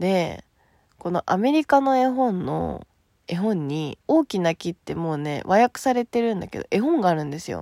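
A woman speaks in a dark, mellow tone with very wide pitch swings. The sound is dry and close, with no echo. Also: medium pitch for a woman, moderate pace. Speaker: solo podcaster. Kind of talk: casual monologue. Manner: animated.

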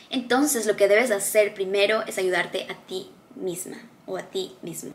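Fairly high-pitched woman at a moderate pace, ordinary pitch variation, noticeable background noise. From Ecuador. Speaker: motivational video creator. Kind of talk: motivational talk to camera.

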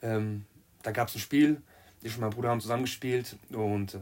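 An ordinary speaking voice moves at a fairly quick pace with fairly even intonation, captured in a very clean recording with a silent background. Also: man. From Germany, Marburg (Hesse). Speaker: amateur footballer. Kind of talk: casual chat.

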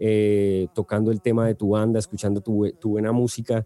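This man's dark, mellow tone sits at a medium pitch, delivered at a moderate pace in a dry, close sound with no echo. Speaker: podcast host. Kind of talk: casual interview. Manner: halting, many fillers and repetitions.

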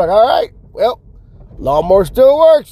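A man talks in an animated tone with ordinary pitch variation. Noticeable background noise runs underneath. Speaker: solo podcast host. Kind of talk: casual monologue. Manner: halting, many fillers and repetitions.

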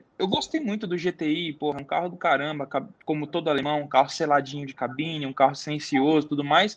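In an ordinary speaking voice, a man talks at a moderate pace, his fairly high pitch carried by fairly even intonation. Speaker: car YouTuber. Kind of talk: casual chat. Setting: live stream.

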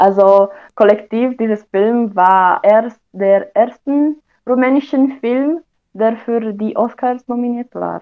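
Speaking in a Romanian accent, a woman talks at a very slow pace. Her pitch is fairly high, with ordinary pitch variation. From Romania, Oradea. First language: Romanian (speaking German). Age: young. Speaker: university student. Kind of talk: interview. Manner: halting.

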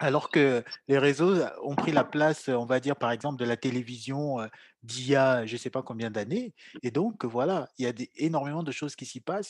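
A man uses a normal speaking voice at medium pitch with ordinary pitch variation. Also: moderate pace. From Cameroon. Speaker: podcast host. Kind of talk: interview.

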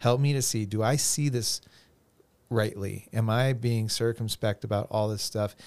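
A man with an unremarkable speaking voice and fairly even intonation is heard in a very clean recording with a silent background. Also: medium pitch for a man, moderate pace. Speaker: youth pastor. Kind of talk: casual podcast conversation.

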